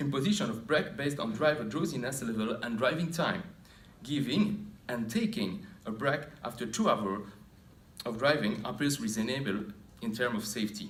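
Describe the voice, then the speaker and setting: Speaking at a moderate pace in a medium-pitched, somewhat breathy voice, a man makes very wide pitch swings amid audible room echo. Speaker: occupational health researcher. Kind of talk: conference presentation. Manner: formal; halting.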